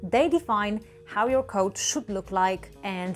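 Over faint background music, a woman talks at a fairly slow pace with ordinary pitch variation. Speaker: programming educator. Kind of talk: tutorial. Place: home room. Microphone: lapel.

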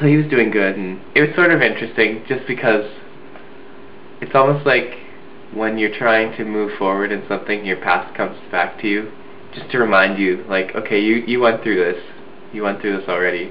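A man with a fairly low pitch talks at a moderate pace, leaving long, frequent pauses. His pitch varies in an ordinary way, with light background noise behind him. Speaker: video blogger. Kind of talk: casual vlog chat. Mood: relaxed, reflective, smiling. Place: home room. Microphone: webcam.

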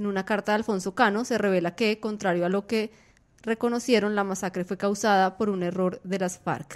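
A woman speaks at a fairly quick pace in an ordinary speaking voice. Her medium pitch carries fairly even intonation. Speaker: news podcast host and editor. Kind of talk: news podcast discussion. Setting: studio.

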